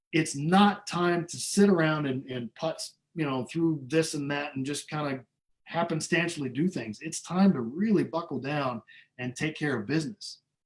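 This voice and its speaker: A man with a plain, everyday voice speaks in an American accent. His pitch is fairly high, varies in an ordinary way, and his pace is moderate. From Iowa, US Midwest. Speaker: trumpet player. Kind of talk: interview. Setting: video call.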